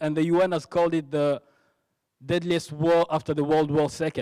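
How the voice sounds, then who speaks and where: With a Congolese accent, a man speaks at fairly high pitch and a moderate pace in a dark, mellow tone. His intonation is monotone and flat, and the sound is dry and close with no echo. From DR Congo, Goma. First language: French. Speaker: ministry worker giving testimony. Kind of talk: testimony. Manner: halting, with repetitions and false starts.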